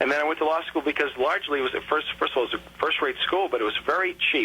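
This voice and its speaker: A fairly high-voiced man rushes along at a very fast pace amid noticeable background noise. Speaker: political candidate and lawyer being interviewed on radio. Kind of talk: radio interview answer, political talk.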